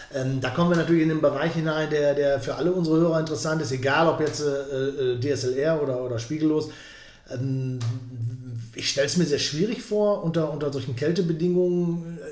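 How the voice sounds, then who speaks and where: At a fairly quick pace, a man talks with ordinary pitch variation amid audible room echo. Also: fairly high pitch for a man. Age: 50s. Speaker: podcast host and interviewer. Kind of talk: podcast interview.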